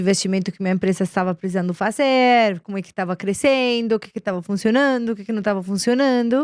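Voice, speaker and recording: A voice in a Colombian accent carries ordinary pitch variation, in a very clean recording with a silent background and a dry, close sound with no echo. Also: woman. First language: Spanish (speaking Portuguese). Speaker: business executive. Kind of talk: interview. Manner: hesitant, with fillers and repetitions.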